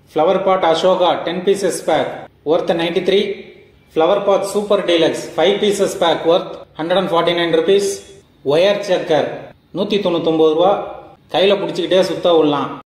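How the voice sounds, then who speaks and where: A man talks at a high pitch with monotone, flat intonation. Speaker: fireworks product reviewer. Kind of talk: product review talk to camera.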